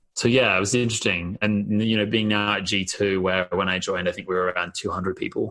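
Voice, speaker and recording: Speaking at a fairly quick pace with hardly any pauses, a man with an Australian accent keeps a monotone, flat intonation in a fairly low pitch, his tone bright and sharp. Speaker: marketing executive. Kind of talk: interview. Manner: casual, lots of filler words.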